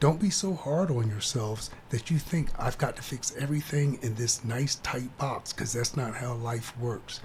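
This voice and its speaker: A man speaks at a moderate pace with hardly any pauses, his medium-pitched voice somewhat breathy. His pitch varies in an ordinary way. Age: 60s. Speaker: career coach and army veteran. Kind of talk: casual chat.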